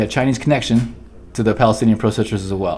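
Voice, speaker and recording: A man's voice with ordinary pitch variation. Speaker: talk show co-host. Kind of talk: casual chat. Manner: fast; animated.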